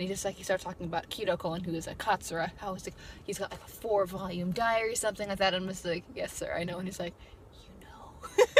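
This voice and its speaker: A woman's very fast, flat, monotone delivery at a medium pitch, with big swings in loudness. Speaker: YouTuber, college student. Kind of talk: casual vlog talk. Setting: in her car. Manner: halting, off the cuff.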